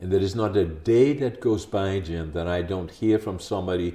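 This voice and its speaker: Speaking with a Dutch accent, a man has a very deep, low voice with a dark, mellow tone. His pace is moderate and his pitch varies in an ordinary way. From Netherlands (Groningen). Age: 80s+. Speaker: podcast host. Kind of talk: interview. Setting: video recording at home.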